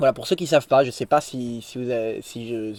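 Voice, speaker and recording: The sound is dry and close with no echo, carrying a man's dark, mellow tone. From France, Lorraine (Nancy). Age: 20s. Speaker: religious YouTuber. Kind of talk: spontaneous vlog monologue. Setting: in a tent. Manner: hesitant, many fillers.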